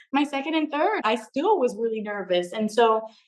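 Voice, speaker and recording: Her tone is animated. The woman's intonation is lively throughout. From US mainland, Puerto Rican born; Florida. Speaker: travel writer and public speaker. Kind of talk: interview conversation. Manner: fast.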